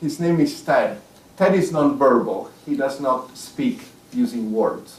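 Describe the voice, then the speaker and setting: Amid noticeable background noise and audible room echo, a man with an Italian accent speaks at a very slow pace in a fairly high pitch with very wide pitch swings. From Italy (Rome). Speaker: author. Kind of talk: public talk.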